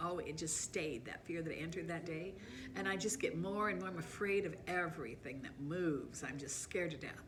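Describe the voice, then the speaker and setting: A woman speaks with a fairly low pitch. Noticeable background noise and audible room echo surround her voice. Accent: American. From Southern California. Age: 70s. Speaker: life storyteller. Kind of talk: personal life story monologue. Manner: casual, conversational.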